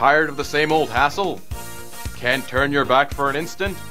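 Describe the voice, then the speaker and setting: With music in the background, a man speaks at a fairly quick pace and a fairly high pitch. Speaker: voice actor. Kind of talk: TV commercial read.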